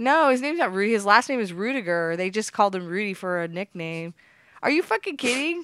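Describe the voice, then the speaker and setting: A woman with an American accent, a medium pitch, very wide pitch swings and a very fast pace, on a very clean recording with a silent background. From United States. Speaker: prank call show host. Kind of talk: prank calls and casual monologue.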